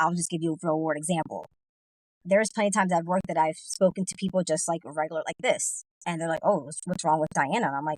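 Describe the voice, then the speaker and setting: With a dry, close sound and no echo, a woman speaks very fast in a fairly low pitch. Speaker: podcast guest. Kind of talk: casual chat. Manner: monotone; even, flat delivery.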